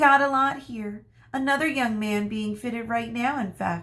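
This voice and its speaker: At a moderate pace, a woman talks in a put-on character voice. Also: fairly high pitch for a woman. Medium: read story. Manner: warm, brisk.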